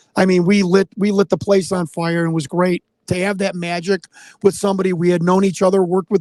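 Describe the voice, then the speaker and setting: In a Chicago accent, a high-pitched man talks at a fairly quick pace with monotone, flat intonation, and the sound is dry and close with no echo. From Chicago, US Midwest. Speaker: former pro wrestler and political candidate. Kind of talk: live stream Q&A interview. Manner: loud; halting.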